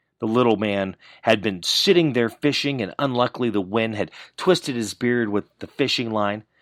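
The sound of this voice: Pitch varies in an ordinary way as the speaker reads in an unforced voice.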